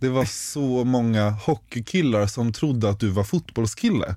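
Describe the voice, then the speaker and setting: Recorded very cleanly against a silent background, with a dry, close sound and no echo, a man speaks at a moderate pace in a dark, mellow tone of medium pitch. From Stockholm, Sweden. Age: 20s. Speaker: podcast co-host, bank business developer. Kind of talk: casual chat.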